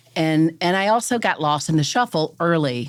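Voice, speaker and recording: A woman talks with a Southern US accent. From US South. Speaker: real estate broker. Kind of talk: casual chat.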